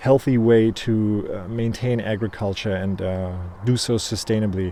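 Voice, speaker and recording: With a German accent, this speaker's pitch varies in an ordinary way. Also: man. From Germany. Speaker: beekeeper. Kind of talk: casual video monologue. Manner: hesitant, many fillers.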